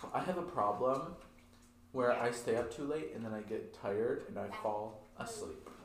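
Noticeable noise fills the background. Meanwhile a man talks at a moderate speed. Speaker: podcast co-host and editor. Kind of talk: casual chat.

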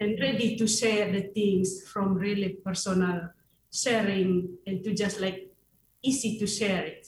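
A woman speaks at a fairly slow pace in a medium pitch, somewhat breathy and with monotone, flat intonation. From Indonesia. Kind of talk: radio interview. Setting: video call into radio studio. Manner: halting.

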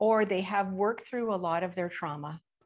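With a slight Canadian accent, a woman speaks at a medium pitch with ordinary pitch variation against a quiet background. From Canada, British Columbia. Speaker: trauma recovery coach. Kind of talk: interview.

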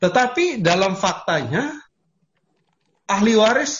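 This man's pitch swings very widely as he talks. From Papua, Indonesia (Sorong). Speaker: lawyer. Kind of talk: lecture.

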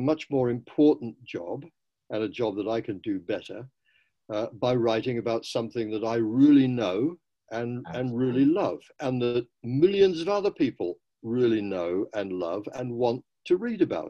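A man with a British accent speaks at a moderate pace and a medium pitch. His intonation is lively. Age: 80s. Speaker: professor and running writer. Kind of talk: interview.

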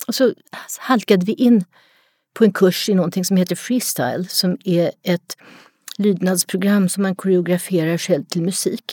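A woman of medium pitch speaks at a fairly slow pace, her tone dark, mellow and somewhat breathy. The sound is dry and close with no echo, in a very clean recording with a silent background. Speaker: retired psychology professor, dog expert. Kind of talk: casual interview.

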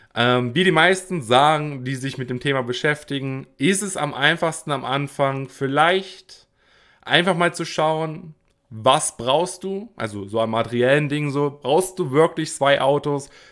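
A man with a plain, everyday voice speaks at a fairly slow pace, his pitch varying in an ordinary way. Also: fairly high pitch for a man, very clean recording, silent background. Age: 20s. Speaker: podcaster. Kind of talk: solo podcast monologue. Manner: casual with frequent fillers.

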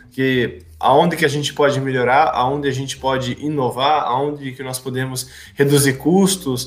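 A man at a fairly slow pace with fairly even intonation, music playing in the background. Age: 20s. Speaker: podcast host, administration student. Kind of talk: casual chat.

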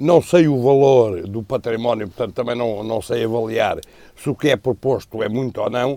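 A man speaks at a moderate pace with a dark, mellow tone and a medium pitch. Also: ordinary pitch variation. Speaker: political commentator. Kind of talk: panel discussion.

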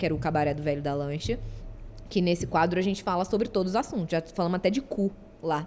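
Speaking at a very fast pace, a woman keeps a medium pitch with ordinary pitch variation. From Rio de Janeiro, Brazil. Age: 20s. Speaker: content creator. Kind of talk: casual chat.

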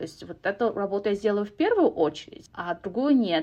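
At a fairly quick pace, a woman speaks at a medium pitch with lively intonation. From Kazakhstan. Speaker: corporate program manager and podcaster. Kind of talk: casual interview.

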